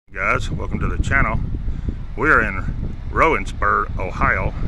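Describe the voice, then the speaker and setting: A man's voice in a dry sound with no echo, plus noticeable background noise. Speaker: cemetery explorer vlogger. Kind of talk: casual vlog chat. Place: open country. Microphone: phone near.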